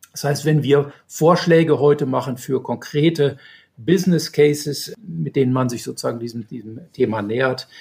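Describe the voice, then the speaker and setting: A man speaks at a moderate pace in a fairly high pitch, somewhat breathy. His loudness swings widely while his pitch varies in an ordinary way. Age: 60s. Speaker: hydrogen energy systems engineer. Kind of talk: interview. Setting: podcast recording. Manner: hesitant with fillers.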